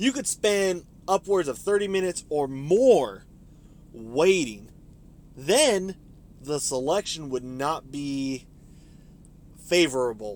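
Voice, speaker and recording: A man with a fairly high voice speaks at a very slow pace, with very wide pitch swings and long, frequent pauses. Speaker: storytelling vlogger. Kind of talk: personal storytelling monologue, partly scripted. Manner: casual, ad-libbed with fillers.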